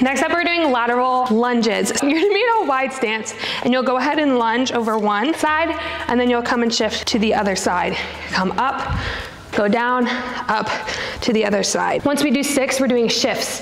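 Over light background noise and audible room echo, a woman speaks at a moderate pace with a high pitch and very even loudness. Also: ordinary pitch variation. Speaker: fitness trainer. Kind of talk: tutorial. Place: gym. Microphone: lapel.

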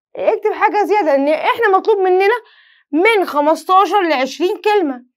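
Against a quiet background, a woman with an Egyptian accent speaks at a moderate pace with lively intonation. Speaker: French teacher. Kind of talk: lesson. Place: studio.

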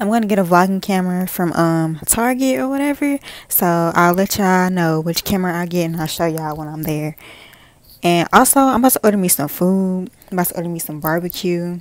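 A woman's fairly low voice at a fairly quick pace, dry with no echo, over a quiet background. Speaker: vlogger. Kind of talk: casual vlog chat. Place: home room. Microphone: earbuds.

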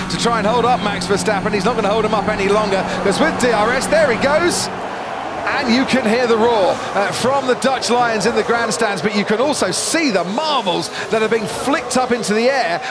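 Amid loud background noise, a man talks at a fairly quick pace with ordinary pitch variation and a dry sound with no echo. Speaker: lead race commentator. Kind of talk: commentary.

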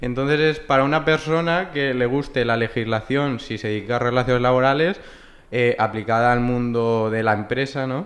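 Pitch varies in an ordinary way as the speech keeps a moderate pace. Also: man. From Valencia region, Spain. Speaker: human resources graduate; podcast guest. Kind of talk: casual interview. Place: meeting room. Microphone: studio mic.

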